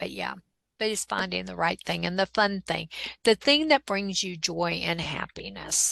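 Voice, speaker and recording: Against a quiet background, a woman speaks at a moderate pace with a dry, close sound and no echo. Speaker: digital product creator and coach. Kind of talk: interview. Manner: animated.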